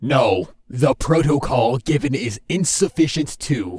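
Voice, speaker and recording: Speaking at a fairly slow pace, a man uses a put-on character voice at a medium pitch. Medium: audio drama.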